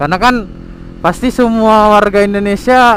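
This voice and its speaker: A man is speaking here. His pace is fairly slow. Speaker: vlogger. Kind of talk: casual vlog monologue. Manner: halting.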